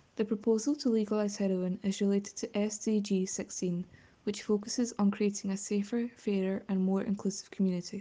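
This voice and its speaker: A woman with a Glasgow accent speaks at a medium pitch in a dark, mellow tone. Her voice is somewhat breathy and her intonation monotone and flat. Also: moderate pace. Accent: Scottish (Glasgow). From west of Scotland, near Glasgow. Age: young. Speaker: student. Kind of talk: prepared statement.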